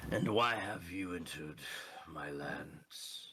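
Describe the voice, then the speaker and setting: Using a put-on character voice, a man speaks at a fairly slow pace with a raspy, very deep, low pitch. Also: ordinary pitch variation. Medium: actual play. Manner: formal, imperious.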